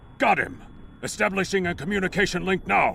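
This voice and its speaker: A man does a put-on character voice, high-pitched and at a fairly quick pace, over clear background noise. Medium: video game. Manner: crisp, formal.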